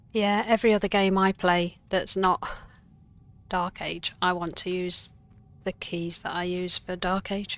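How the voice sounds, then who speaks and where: In a British accent, a woman speaks at a medium pitch and a fairly slow pace, her intonation flat and monotone. The recording is very clean with a silent background. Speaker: game streamer. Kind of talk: casual chat. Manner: halting.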